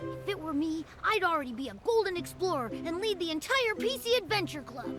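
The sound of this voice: A put-on character voice with a fairly bright tone swings widely in pitch at a fairly quick pace. Faint music plays in the background. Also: woman, extremely high pitch for a woman.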